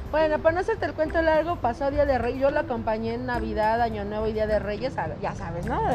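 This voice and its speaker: A woman's animated tone at a very fast pace, with music in the background. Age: 30s. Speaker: podcast guest. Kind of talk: casual chat.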